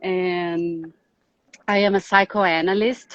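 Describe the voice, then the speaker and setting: A woman talks with a Brazilian accent. The sound is dry and close, with no echo. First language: Portuguese. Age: 40s. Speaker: psychoanalyst and relationship specialist. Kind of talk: live online talk. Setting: Instagram live video stream.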